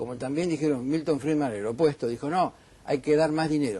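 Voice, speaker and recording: The voice belongs to a man talking very fast. It has a dark, mellow tone. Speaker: economist. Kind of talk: heated debate.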